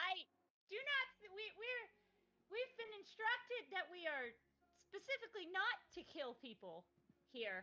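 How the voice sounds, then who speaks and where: Using a squeaky put-on character voice, a woman speaks at an extremely high pitch with very wide pitch swings, a moderate pace and long, frequent pauses. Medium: actual play. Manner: formal, measured.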